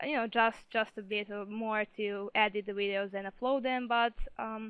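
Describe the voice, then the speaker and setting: A woman with a non-native accent speaks at a moderate pace in a fairly high pitch, her intonation monotone and flat. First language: not English. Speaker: gaming video creator. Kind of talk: interview. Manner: hesitant, many fillers.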